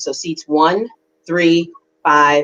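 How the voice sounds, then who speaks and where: A woman with an American accent speaks at a fairly slow pace. Hers is a plain, everyday voice, fairly low in pitch. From New York City. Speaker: political candidate. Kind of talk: interview.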